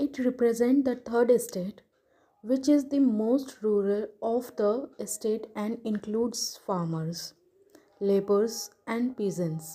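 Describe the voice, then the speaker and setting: A very slow, somewhat breathy voice, dark and mellow in tone, with ordinary pitch variation. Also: woman, fairly high pitch for a woman. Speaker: tarot teacher. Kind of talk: tutorial.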